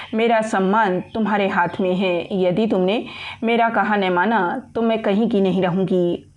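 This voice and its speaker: A woman's medium-pitched voice with fairly even intonation, over noticeable background noise. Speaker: audiobook narrator. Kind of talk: audiobook novel narration.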